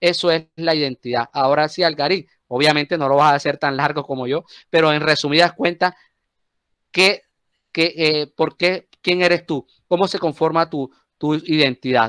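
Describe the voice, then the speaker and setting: Here a man with a Colombian Caribbean accent talks at a moderate pace, his pitch fairly high and his intonation fairly even. The recording is very clean and dry, with a close sound, no echo and a silent background. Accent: Colombian costeño. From Colombian Caribbean coast, Cartagena. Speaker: teacher. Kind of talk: class discussion. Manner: halting, repeats words.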